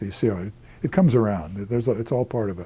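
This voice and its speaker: This man's voice is dark and mellow, somewhat breathy, at a medium pitch with ordinary pitch variation. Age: 70s. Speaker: historian. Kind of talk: interview. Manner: halting.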